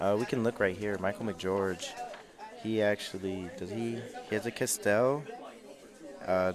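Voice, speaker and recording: With crowd noise behind it, the voice moves at a fairly slow pace with long, frequent pauses and ordinary pitch variation. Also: man. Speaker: card game tournament commentator. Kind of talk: live commentary. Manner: loud.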